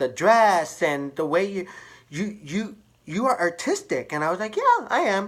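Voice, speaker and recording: The voice carries an American accent. It moves fairly slowly. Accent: speech of a hearing-impaired person. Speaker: hairstylist. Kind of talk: personal storytelling vlog. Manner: halting, many fillers and repeats; casual.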